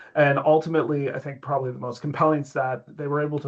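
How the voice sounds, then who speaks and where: Noticeable background noise surrounds a man with a Canadian accent and a fairly high pitch. He talks at a very fast pace with fairly even intonation. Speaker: tech company executive. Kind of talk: interview.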